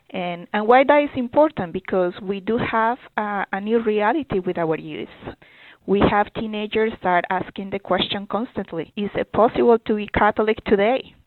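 With a Spanish accent, the speaker keeps a moderate pace and ordinary pitch variation. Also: woman, medium pitch for a woman. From Colombia. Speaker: youth ministry director. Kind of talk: interview. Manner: halting.

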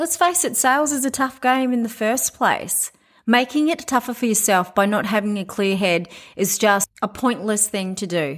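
With an Australian accent, a woman speaks with lively intonation. The recording is very clean, with a silent background. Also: fairly high pitch for a woman, moderate pace. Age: 40s. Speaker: commercial real estate agent and podcast host. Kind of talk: solo podcast monologue.

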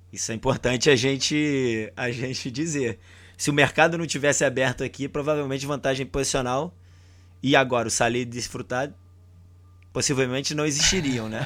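On a very clean recording with a silent background, a man in a normal speaking voice talks at a moderate pace and medium pitch with fairly even intonation. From Brazil. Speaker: football podcast host. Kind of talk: casual chat.

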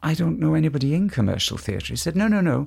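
Somewhat breathy, a man talks at a fairly high pitch in a very clean recording with a silent background. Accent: Welsh. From Mid-Wales. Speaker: musical theatre actor and tenor. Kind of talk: casual chat. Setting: at home.

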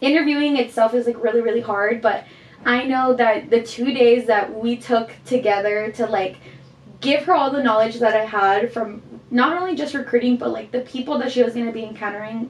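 A woman's high-pitched voice with ordinary pitch variation at a fairly quick pace, against noticeable background noise. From Guatemala. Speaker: student society officer. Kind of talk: casual chat.

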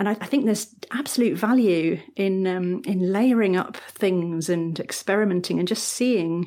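A woman with a British accent, ordinary pitch variation and a fairly slow pace. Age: 40s. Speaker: paper crafter. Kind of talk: casual chat.

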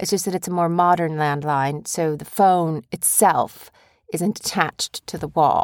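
On a very clean recording with a silent background, a woman speaks at a fairly low pitch and a fairly slow pace. Her intonation is fairly even, and the sound is dry and close with no echo. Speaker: podcast host, parent. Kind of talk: casual chat with child. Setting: home recording room. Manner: rambling, halting.

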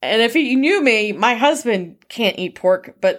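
In a plain, everyday voice, a woman speaks at a moderate pace with lively intonation. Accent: American. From rural Michigan. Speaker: animal scientist and podcast founder. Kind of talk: webinar discussion.

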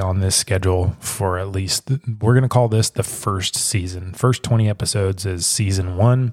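Somewhat breathy, a man talks at a fairly quick pace and fairly low pitch with ordinary pitch variation. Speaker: podcast host. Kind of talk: casual solo monologue. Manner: casual, laughing, many fillers.

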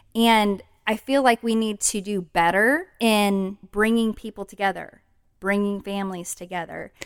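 On a very clean recording with a silent background, a woman with an ordinary speaking voice talks fairly slowly at a medium pitch with fairly even intonation. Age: 40s. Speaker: podcast co-host. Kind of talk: casual chat.

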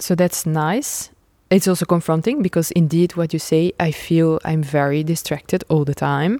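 With a Dutch accent, a woman speaks in a fairly low, dark, mellow tone, in a dry, close sound with no echo. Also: moderate pace. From Netherlands, Nijmegen. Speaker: trapeze artist. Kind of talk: interview. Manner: animated; halting.

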